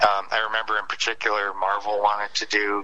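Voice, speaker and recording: With a Midwestern American accent, a man speaks at a moderate pace and fairly low pitch. His intonation stays flat and monotone against noticeable background noise. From Detroit area, Michigan. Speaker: comic book artist. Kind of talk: interview. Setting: phone call.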